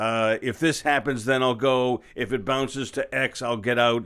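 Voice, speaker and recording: A man talks at a moderate pace in an unremarkable speaking voice of medium pitch, with ordinary pitch variation. The recording is very clean, with a silent background. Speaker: podcast host. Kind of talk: casual podcast monologue.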